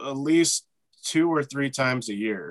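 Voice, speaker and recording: At a very slow pace, a man speaks with fairly high pitch and lively intonation. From Texas, small town south of Dallas. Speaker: writer, actor and director. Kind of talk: casual chat.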